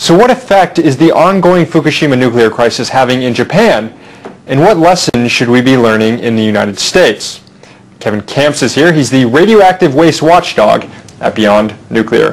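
Lively intonation marks this man's speech. He keeps to a moderate pace. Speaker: talk show host. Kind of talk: interview. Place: studio.

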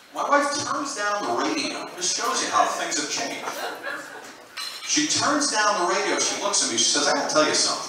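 A man with an American accent, high in pitch, very wide pitch swings, a moderate pace, strong room echo and noticeable background noise. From New York, USA. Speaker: sports anchor and host. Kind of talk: stand-up comedy set. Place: stage.

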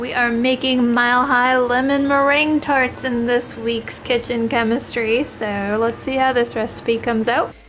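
A woman's high pitch, monotone, flat intonation and moderate pace, with light background noise. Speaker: home cook vlogger. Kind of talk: casual vlog chat. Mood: relaxed, mildly doubtful. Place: kitchen. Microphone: phone near.

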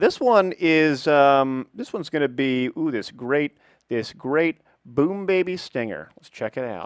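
An unremarkable speaking voice with lively intonation and big swings in loudness, recorded dry and close with no echo. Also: man, fairly high pitch for a man, fairly slow pace. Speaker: esports caster and channel owner. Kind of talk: casual gaming commentary.

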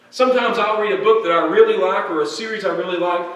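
This man talks very fast with ordinary pitch variation. There is audible echo in the room. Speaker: preacher. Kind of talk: sermon. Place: church.

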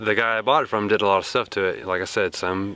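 At a fairly quick pace, a man with a fairly low pitch talks in a dry sound with no echo. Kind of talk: interview answer. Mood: relaxed, conversational. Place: open country.

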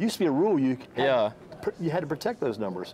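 Light background noise behind a male speaker. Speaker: interview host. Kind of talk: interview chat. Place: shop. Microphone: lapel.

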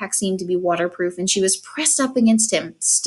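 The clip is of reading aloud in a natural voice.

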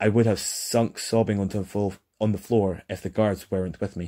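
Heard on a very clean recording with a silent background, a man with a Scottish accent speaks at a moderate pace, with a fairly low pitch, a dark, mellow tone and monotone, flat intonation. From Scotland. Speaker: audiobook narrator. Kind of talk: fantasy audiobook reading. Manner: relaxed.

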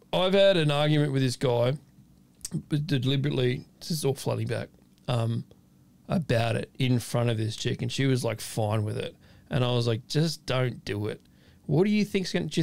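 Lively intonation marks this man's moderate-paced speech. He leaves long, frequent pauses. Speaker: podcast host. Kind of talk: casual podcast conversation. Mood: animated, exasperated storytelling. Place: studio. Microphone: studio mic.

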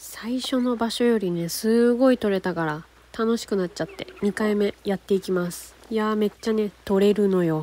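A woman speaks at a moderate pace with ordinary pitch variation, the sound dry with no echo and light background noise. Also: hardly any pauses. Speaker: outdoor hobby vlogger. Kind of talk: casual vlog chat. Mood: cheerful, playful. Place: waterside. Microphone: phone near.

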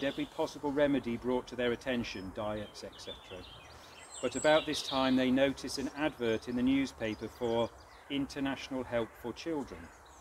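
A man speaks with fairly even intonation. Noticeable background noise is present. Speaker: eulogy reader at a funeral. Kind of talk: funeral eulogy reading. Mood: solemn, measured. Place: open country.

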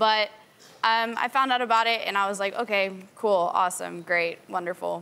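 Bright, sharp tone at a moderate pace. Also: woman. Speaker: dating show participant. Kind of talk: talk show interview. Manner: animated. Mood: animated, amused storytelling. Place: studio.

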